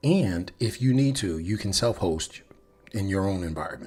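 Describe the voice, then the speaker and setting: A man at a fairly slow pace with lively intonation, against noticeable background noise. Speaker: developer advocate livestreamer. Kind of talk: live coding stream chat. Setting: livestream. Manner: subdued; halting, self-correcting.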